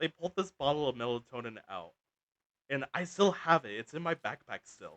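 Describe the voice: A man talks at a moderate pace in a medium pitch with big pitch swings and a bright, sharp tone, recorded dry and close with no echo.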